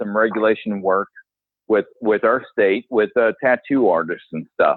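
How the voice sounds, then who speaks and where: A man with a fairly low pitch talks fairly slowly, his intonation fairly even. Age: 40s. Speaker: podcast host. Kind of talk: podcast interview. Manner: halting.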